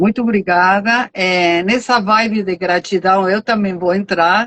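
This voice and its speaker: In a Uruguayan accent, a woman talks at a medium pitch with fairly even intonation. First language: Spanish (speaking Portuguese). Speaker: nonprofit finance director. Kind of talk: live stream interview.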